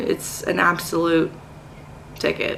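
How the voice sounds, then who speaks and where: A woman with an American accent talks while noticeable background noise runs behind her. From North Carolina, US South. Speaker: teacher. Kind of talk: casual vlog talk to camera. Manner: hesitant, many filler words.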